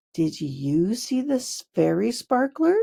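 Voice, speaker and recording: In a put-on character voice, a female-sounding speaker talks at a fairly slow pace with a fairly high pitch for a woman. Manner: loud, shouting.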